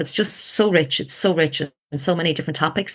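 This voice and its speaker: A woman with an Irish accent, fairly quick and bright, sharp in tone. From rural Ireland. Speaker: ayurveda client. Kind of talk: podcast interview. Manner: animated.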